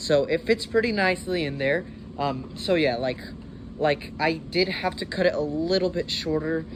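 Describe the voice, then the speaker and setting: A man with a fairly high pitch talks at a moderate pace with ordinary pitch variation over noticeable background noise. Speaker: DIY maker youtuber. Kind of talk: tutorial. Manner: hesitant, many fillers.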